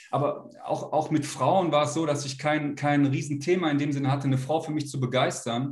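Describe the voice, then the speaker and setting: With hardly any pauses, a man talks at a fairly quick pace in a flat monotone at fairly high pitch, over noticeable background noise. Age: 40s. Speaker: men's coach. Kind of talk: interview. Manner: halting.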